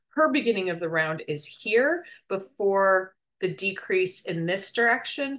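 Here a woman talks. Nothing stirs in the quiet background. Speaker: knitting teacher. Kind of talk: tutorial.

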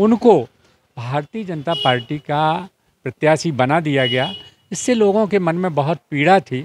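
A man talks at a very slow pace in a fairly high pitch with lively intonation. The sound is dry with no echo, over light background noise. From Madhya Pradesh. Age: 60s. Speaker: independent election candidate, politician; election candidate, politician. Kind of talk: interview. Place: street.

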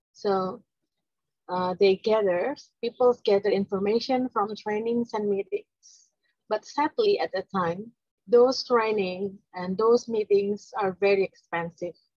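In an Indonesian accent, a woman of medium pitch talks at a fairly slow pace with fairly even intonation, the sound dry with no echo and the background quiet. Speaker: scientific journal management advocate; guest. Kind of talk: presentation. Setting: video call. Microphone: video call.

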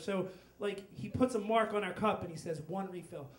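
A man's voice comes through with light noise behind it and audible echo from the room. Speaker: storyteller. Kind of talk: storytelling performance. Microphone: handheld.

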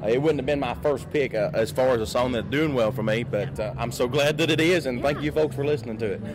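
Barely pausing, a man speaks at a very fast pace with ordinary pitch variation over noticeable background noise. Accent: Kentucky. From Kentucky. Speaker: country singer; guest. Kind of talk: casual interview. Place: hall. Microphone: handheld.

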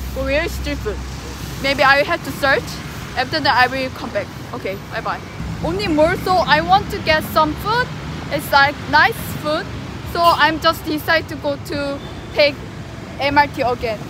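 A woman's raised, projected voice at a moderate pace, with long, frequent pauses, dry sound with no echo, and noticeable background noise. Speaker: travel vlogger. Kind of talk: casual vlog chat.

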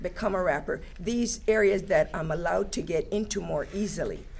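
There is light background noise as a woman speaks at a moderate pace. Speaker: teacher. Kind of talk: panel discussion. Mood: earnest, engaged. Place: studio.

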